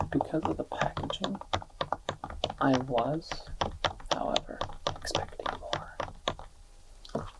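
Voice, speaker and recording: Whispering and soft-spoken, the voice stays low throughout. Noticeable background noise can be heard. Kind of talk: ASMR card review. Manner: soft-spoken, whispered.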